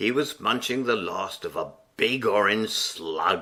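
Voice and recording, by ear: This is reading aloud in a natural voice. Nothing else stands out.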